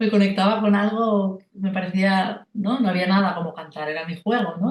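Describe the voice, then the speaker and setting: A woman with a Catalan accent speaks at a moderate pace, with a medium pitch and fairly even intonation. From rural Catalonia, Spain. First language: Catalan (speaking Spanish). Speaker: singer and vocal coach. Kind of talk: interview conversation. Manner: halting, many repetitions and fillers.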